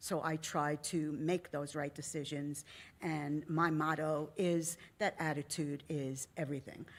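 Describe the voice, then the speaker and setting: In a very clean recording with a silent background, a woman speaks at a fairly slow pace with a very deep, low pitch and monotone, flat intonation. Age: 70s. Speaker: retired educator, panelist. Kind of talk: panel self-introduction. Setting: university auditorium conference.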